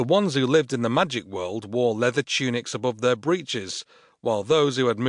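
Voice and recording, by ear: With ordinary pitch variation, the passage is read aloud in a natural voice.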